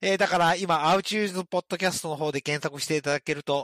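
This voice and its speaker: Speaking very fast, a man uses a fairly high voice with ordinary pitch variation in a dry, close sound with no echo. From regional Japan, outside Tokyo. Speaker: main podcast MC. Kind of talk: casual comedy chat. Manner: laughs often.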